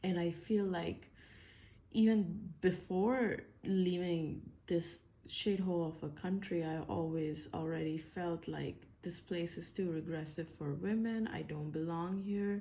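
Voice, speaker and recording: Speaking fairly slowly, a woman has a fairly low pitch and a dark, mellow tone. Audible room echo hangs around her voice. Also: ordinary pitch variation. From India. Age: 30s. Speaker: engineer and vlogger. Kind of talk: personal vlog monologue. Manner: hesitant, many fillers.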